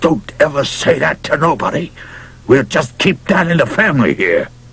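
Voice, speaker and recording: A raspy, put-on character voice moves at a moderate pace. Light background noise sits underneath. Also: man, fairly high pitch for a man. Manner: quietly furious, through clenched teeth.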